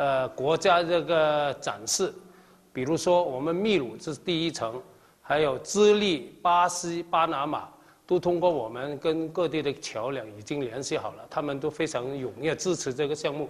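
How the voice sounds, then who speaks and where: Using an ordinary speaking voice, a man talks at a fairly slow pace with a fairly high pitch. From Kaiping, Jiangmen, Guangdong. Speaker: overseas Chinese community leader. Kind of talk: interview.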